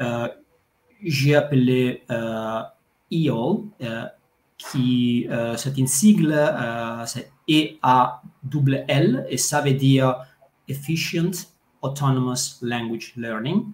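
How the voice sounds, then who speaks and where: In an Italian accent, a man speaks at a medium pitch and a very slow pace, with long, frequent pauses. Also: ordinary pitch variation. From Italy. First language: Italian (speaking French). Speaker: language coach. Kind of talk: interview. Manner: halting, many hesitations.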